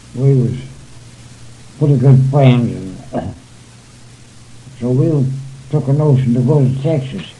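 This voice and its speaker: A man's medium-pitched, somewhat breathy voice with an American accent, dark and mellow in tone, fairly even in intonation, at a fairly slow pace with long, frequent pauses. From southern Illinois. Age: 90s. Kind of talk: oral history interview answer.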